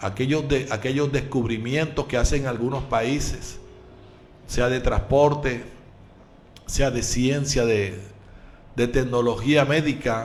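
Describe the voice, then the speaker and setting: Speech comes at a very slow pace with long, frequent pauses and fairly even intonation. Audible room echo fills the recording. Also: man, medium pitch for a man. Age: 60s. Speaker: pastor and radio preacher. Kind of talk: radio sermon. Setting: live radio broadcast.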